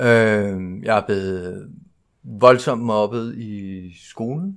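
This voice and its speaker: Fairly low in pitch, the man keeps his intonation fairly even. The recording is very clean with a silent background. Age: 40s. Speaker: recovering alcoholic speaker at a 12-step convention. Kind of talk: personal testimony talk. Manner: halting, with many fillers.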